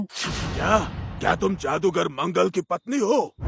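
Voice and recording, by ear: A man uses a cartoonish character voice pitched high. He talks at a fairly slow pace.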